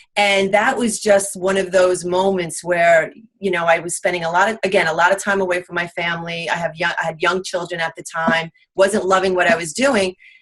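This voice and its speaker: With a strong Long Island accent, a woman speaks at a fairly low pitch. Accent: thick Long Island. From US Northeast, Long Island, New York. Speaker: real estate investor. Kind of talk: interview. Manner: halting.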